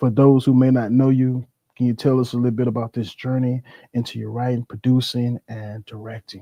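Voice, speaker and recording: A man speaks at a medium pitch and a moderate pace, his tone dark and mellow. The voice is shaky, and the sound is dry and close with no echo. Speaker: livestream host. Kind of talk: interview. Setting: livestream. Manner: shaky voice.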